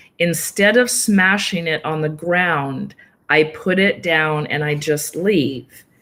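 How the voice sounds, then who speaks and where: Very slowly, a woman speaks at a very deep, low pitch with a bright, sharp tone and ordinary pitch variation. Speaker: yoga nidra practitioner. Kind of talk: interview answer.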